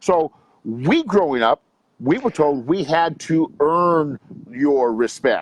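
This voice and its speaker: A man with an American accent talks at a very slow pace in a fairly high voice, with lively intonation, very even loudness and a dry, close sound with no echo. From US West Coast, Long Beach, California. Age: 60s. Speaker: youth coach and motivational speaker. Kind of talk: interview.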